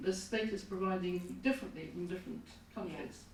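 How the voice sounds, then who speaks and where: There is audible room echo as a woman speaks. Noticeable background noise runs underneath. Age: 70s. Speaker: audience member. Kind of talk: audience question. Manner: halting.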